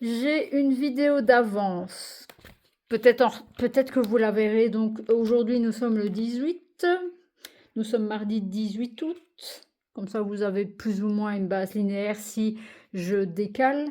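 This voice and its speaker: Her voice is fairly high, with a dark, mellow tone. The woman speaks at a very slow pace. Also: ordinary pitch variation. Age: 30s. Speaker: coloring vlogger. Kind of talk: casual vlog chat. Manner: halting.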